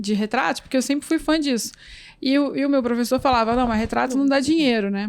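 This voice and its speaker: A woman speaks at a very fast pace with a high pitch. Her loudness is very even and her pitch varies in an ordinary way. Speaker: photographer and photography teacher. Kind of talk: interview conversation. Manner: soft-spoken.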